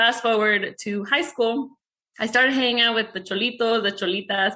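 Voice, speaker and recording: Someone with a Spanish accent talks at a fairly quick pace. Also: woman. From Mexico. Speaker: real estate investor. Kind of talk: interview. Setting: video call.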